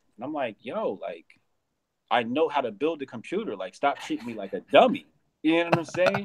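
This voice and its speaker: A man speaks at a fairly quick pace with vocal fry and very wide pitch swings. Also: fairly high pitch for a man, big swings in loudness. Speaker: comedian and conservative commentator. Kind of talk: casual live-stream interview.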